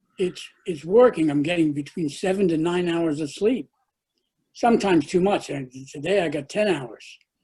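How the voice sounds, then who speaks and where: At a moderate pace, a man with a dark, mellow, fairly high voice speaks with ordinary pitch variation. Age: 80s+. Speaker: support group participant with Parkinson's. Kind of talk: question in virtual meeting.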